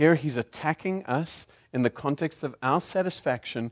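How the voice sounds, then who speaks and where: Over a quiet background, a man with a South African accent speaks at a moderate pace with lively intonation, his sound dry and close with no echo. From Zimbabwe. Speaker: guest preacher. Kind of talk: sermon. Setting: church.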